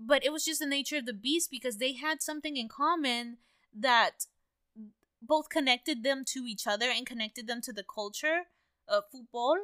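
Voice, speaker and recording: A woman raises and projects her high voice at a moderate pace, her tone bright and sharp, with ordinary pitch variation and a dry, close sound with no echo. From US, Mexican-American. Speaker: podcast co-host. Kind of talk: casual chat.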